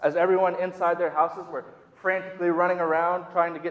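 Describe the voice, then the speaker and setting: A high-pitched man with an American accent at a very fast pace, over noticeable background noise. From US Midwest, Minnesota. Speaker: youth director preaching. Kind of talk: sermon. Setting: church.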